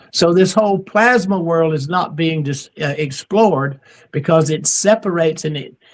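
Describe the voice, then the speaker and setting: This man has a fairly high pitch. He speaks with a South Carolina accent. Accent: Southern US (South Carolina). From US South. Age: 70s. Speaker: near-death experience author and speaker. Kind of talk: podcast interview. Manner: animated, emphatic.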